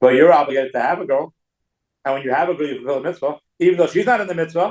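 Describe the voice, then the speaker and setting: A man talks at a very fast pace. His fairly high pitch shows ordinary variation. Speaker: rabbi teaching a Talmud class. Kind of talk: lecture.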